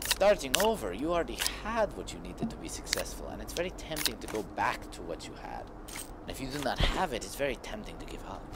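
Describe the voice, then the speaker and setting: A very fast-talking man with an American accent, big swings in loudness, and noticeable background noise. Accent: puts on a foreign accent, apologizes for it. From United States. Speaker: gaming streamer. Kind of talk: live stream gameplay commentary. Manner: halting, repeats words.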